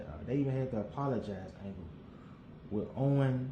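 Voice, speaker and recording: Amid noticeable background noise and audible room echo, a man speaks at a fairly quick pace in a medium pitch. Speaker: wrestling podcaster. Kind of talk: casual solo commentary. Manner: fast.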